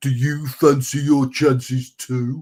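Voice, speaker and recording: Doing a put-on character voice, a man speaks fairly slowly in a flat monotone at a medium pitch. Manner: dim-witted, challenging.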